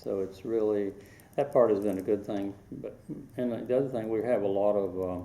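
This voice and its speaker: A man with a Southern US accent speaks at a fairly low pitch and with fairly even intonation. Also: moderate pace. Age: 60s. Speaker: local history interviewee. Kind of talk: oral history interview.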